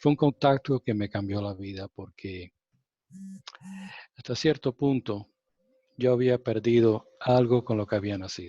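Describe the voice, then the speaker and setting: A man with a non-native accent speaks at a very slow pace, with a medium pitch and ordinary pitch variation. His tone is dark and mellow, in a dry, close sound with no echo. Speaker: spiritual contactee. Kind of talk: interview testimony. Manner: halting.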